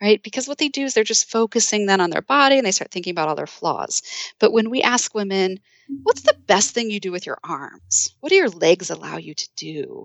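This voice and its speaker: At a fairly quick pace, a woman uses an ordinary speaking voice at medium pitch, with lively intonation and big swings in loudness. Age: 40s. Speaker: psychology professor and author. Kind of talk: interview.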